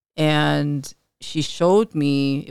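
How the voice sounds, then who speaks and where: The woman's voice is captured with a dry, close sound with no echo. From Chicago, north side (Filipino American family). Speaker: life coach and entrepreneur. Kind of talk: casual interview.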